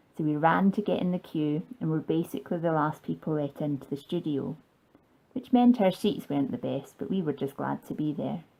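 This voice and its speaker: In a Scottish accent, a woman with a very deep, low pitch and a dark, mellow tone talks at a fairly quick pace with lively intonation on a very clean recording with a silent background. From Scotland. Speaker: fan vlogger. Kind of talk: scripted narration.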